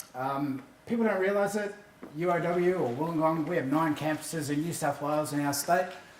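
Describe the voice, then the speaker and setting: Amid noticeable background noise and audible room echo, a man with an Australian accent speaks at a fairly quick pace, with a fairly high pitch and ordinary pitch variation. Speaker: university AV manager. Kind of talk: conference presentation. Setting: stage with audience. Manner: fast.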